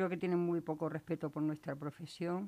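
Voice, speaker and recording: A woman speaks with an Extremaduran accent at a fairly low pitch. Her tone is dark and mellow, and her intonation fairly even. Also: very clean recording, silent background. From Extremadura, Spain (Valle del Jerte). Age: 50s. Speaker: laid-off retail worker. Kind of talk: radio interview. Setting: studio.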